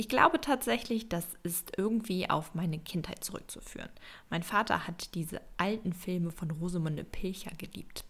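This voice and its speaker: Moderate pace and ordinary pitch variation in a woman's unremarkable speaking voice. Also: medium pitch for a woman. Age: 20s. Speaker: podcast host, interior designer. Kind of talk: solo podcast monologue.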